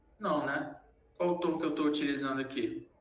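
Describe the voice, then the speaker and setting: A man with a fairly high pitch and fairly even intonation talks amid audible room echo and noticeable background noise. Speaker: sales trainer. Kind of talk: lecture.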